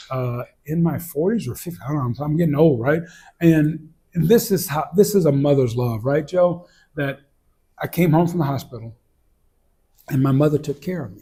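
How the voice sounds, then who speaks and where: Somewhat breathy and dark, mellow in tone, a man with a fairly high pitch speaks at a moderate pace, with big swings in loudness and long, frequent pauses. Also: ordinary pitch variation. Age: 60s. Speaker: interview host. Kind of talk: casual chat. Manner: halting.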